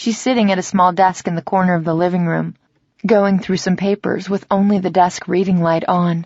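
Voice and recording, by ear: Someone reads aloud in a natural voice with fairly even intonation. The background is quiet.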